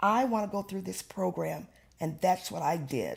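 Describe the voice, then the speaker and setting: A woman talks in a Louisiana accent at a moderate pace. Her pitch is fairly low, and her tone is animated. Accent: Southern US (Louisiana). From rural Louisiana, US South. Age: 60s. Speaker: oral history interviewee, retired community activist. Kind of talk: oral history interview.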